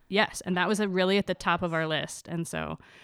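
A woman with an American accent talks at a very fast pace with vocal fry, in a very clean recording with a silent background and a dry, close sound with no echo. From US Midwest. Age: 30s. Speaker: postdoctoral researcher. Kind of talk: casual interview chat. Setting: recording in host's kitchen.

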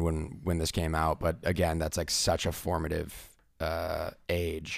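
Over a silent background in a very clean recording, a man speaks in an animated tone. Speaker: podcast co-host. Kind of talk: casual chat.

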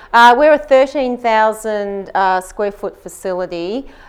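In an Australian accent, a woman talks at a moderate pace. Her pitch variation is ordinary. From Australia, Queensland Gold Coast. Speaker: gym co-owner and personal trainer. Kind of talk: interview.

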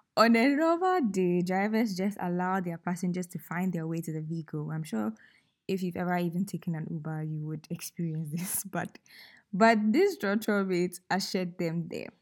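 On a very clean recording with a silent background, a woman with a Ghanaian accent speaks at a moderate pace in a fairly low pitch. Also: ordinary pitch variation. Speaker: podcast host. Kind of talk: casual, faith-based reflection. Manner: storytelling, warm, playful.

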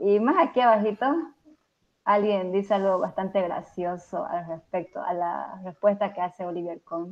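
A woman with a plain, everyday voice, medium in pitch, at a moderate pace with fairly even intonation. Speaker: software developer. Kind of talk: technical tutorial.

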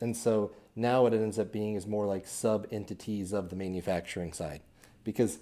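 A man with a Midwestern American accent speaks at a fairly quick pace, fairly low in pitch and dark and mellow in tone. His intonation stays fairly even on a very clean recording with a silent background. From Kansas City area, Missouri. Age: 30s. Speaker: business owner, CEO. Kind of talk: casual interview. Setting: studio.

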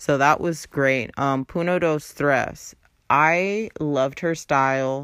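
Very deep, low-pitched woman's voice in an upbeat tone, very slow pace and very even loudness. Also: ordinary pitch variation. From Los Angeles, US West Coast. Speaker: podcast host. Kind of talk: casual solo podcast monologue. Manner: casual, chatty, upbeat.

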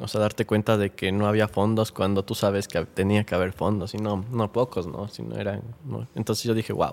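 An unremarkable speaking voice: a man with fairly low pitch and fairly even intonation at a fairly quick pace. The recording is very clean, with a silent background. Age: 20s. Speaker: youth activist. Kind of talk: interview.

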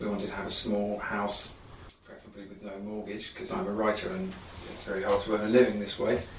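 Over noticeable background noise, a man with a southern English accent talks very fast at a fairly low pitch, with big swings in loudness. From southeast England (London and Kent). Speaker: writer. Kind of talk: interview conversation. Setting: writing cabin.

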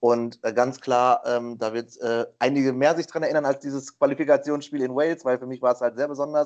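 The speaker has an ordinary speaking voice and a fairly quick pace. Intonation stays fairly even, with hardly any pauses. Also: man, medium pitch for a man. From western Germany. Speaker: quiz contestant, streamer. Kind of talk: casual quiz show chat. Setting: Skype call.

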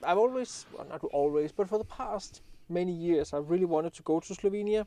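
Ordinary pitch variation with a Danish accent. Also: man. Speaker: landscape photographer and YouTuber. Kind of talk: podcast interview.

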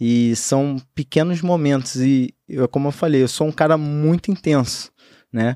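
On a very clean recording with a silent background and a dry, close sound with no echo, a man uses a normal speaking voice at a fairly slow pace, fairly high in pitch with ordinary pitch variation. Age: 20s. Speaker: entrepreneur. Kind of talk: podcast interview.

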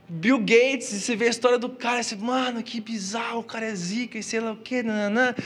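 A man's extremely high-pitched voice at a very fast pace, fairly even in intonation, with noticeable background noise. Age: 20s. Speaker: youth pastor. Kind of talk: sermon. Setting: church with live audience. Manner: casual slangy delivery. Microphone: PA feedback issues.

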